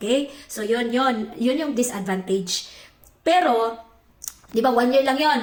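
Fairly slow, high-pitched speech from a woman with ordinary pitch variation and audible room echo. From Philippines. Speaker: vlogger. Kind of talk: casual chat.

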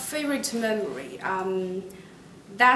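Someone with a Chinese accent speaks at a very slow pace with ordinary pitch variation. Audible room echo and light background noise come through. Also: woman. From China. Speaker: university student. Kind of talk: promotional testimonial interview. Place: classroom.

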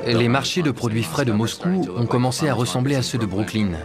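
Over clear music in the background, a man talks at a moderate pace with very even loudness. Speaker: voice-over artist. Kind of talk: documentary dub voice-over. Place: booth. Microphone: studio mic.

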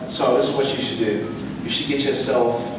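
A man talks with an American accent. Strong room echo and noticeable background noise surround his voice. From North Carolina. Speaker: poet. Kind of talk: audience Q&A answer. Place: meeting room.

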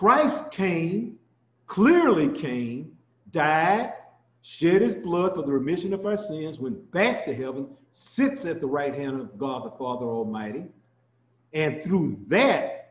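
Audible room echo surrounds the voice. A man speaks at a very slow pace. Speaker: ministry teacher. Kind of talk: sermon. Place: home room. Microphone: webcam.

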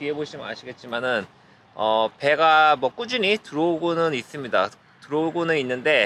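Bright, sharp tone with light background noise and a dry sound without echo. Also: man. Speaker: vlogger. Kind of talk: casual vlog chat. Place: boat. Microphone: phone near.

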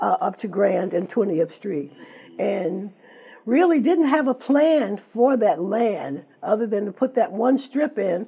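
A woman with an American accent speaks at a fairly slow pace. Her fairly high voice swings very widely in pitch. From US Midwest. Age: 70s. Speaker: author. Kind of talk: interview with reading aloud. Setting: TV studio. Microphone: lapel.

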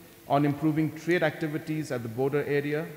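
A man speaks at a moderate pace, and room echo can be heard around him. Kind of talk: formal speech. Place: hall. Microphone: podium.

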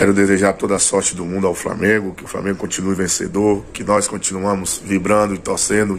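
Against light background noise, a man talks fairly quickly in a fairly low pitch with flat, monotone intonation. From Bahia, Brazil (interior). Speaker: retired footballer. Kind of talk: interview. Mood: warm, grateful, nostalgic. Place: home room. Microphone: phone near.

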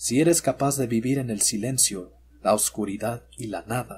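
In a dramatic tone, a man with a somewhat breathy voice at medium pitch speaks at a fairly slow pace. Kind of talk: scripted horror narration, ghost story telling. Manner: slow, hushed and ominous, addressing the listener directly as 'you'; deliberate, dramatic pauses, eerie and suspenseful.

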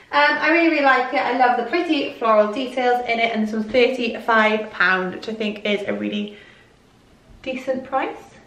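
Amid audible room echo, a woman with a Welsh accent speaks at a moderate pace in a fairly high pitch with ordinary pitch variation. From Wales. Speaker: fashion YouTuber. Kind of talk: clothing haul vlog. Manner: excitable. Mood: upbeat, friendly. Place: home room.

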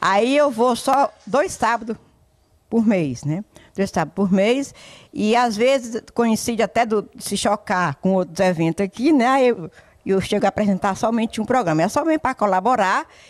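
Against a quiet background, a woman with fairly high pitch talks at a moderate pace with lively intonation. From Ceará, Brazil. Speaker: former radio presenter. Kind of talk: casual interview, reminiscing. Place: home room. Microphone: handheld.

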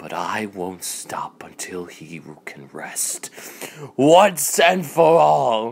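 The pace is very slow. Pitch swings very widely. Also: man, medium pitch for a man. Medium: fan dub. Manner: outraged, then sneering and vengeful.

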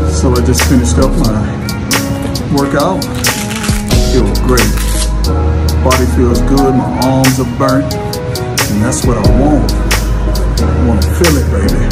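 A man at a fairly slow pace with long, frequent pauses, over loud background music. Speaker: fitness vlogger. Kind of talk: casual vlog chat. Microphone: phone near.

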